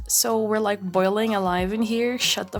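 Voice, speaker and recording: Noticeable background noise sits behind a speaker with a Portuguese accent who talks at a moderate pace. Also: woman. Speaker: art YouTuber. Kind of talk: casual rambling vlog while drawing.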